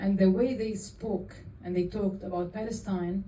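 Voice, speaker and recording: Amid audible room echo, a woman speaks very slowly with monotone, flat intonation. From Jordan. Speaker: film director. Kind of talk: Q&A after a film screening. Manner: halting.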